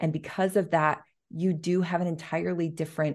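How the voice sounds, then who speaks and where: A woman speaks at a moderate pace in a plain, everyday voice, fairly low in pitch with fairly even intonation. The background is quiet. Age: 30s. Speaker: business coach. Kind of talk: interview.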